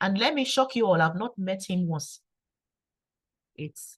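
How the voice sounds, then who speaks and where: Quiet and somewhat breathy, a woman speaks in a calm tone at a fairly slow pace, with a dry, close sound and no echo. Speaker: engineer and network marketer. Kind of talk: testimony. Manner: calm and quiet.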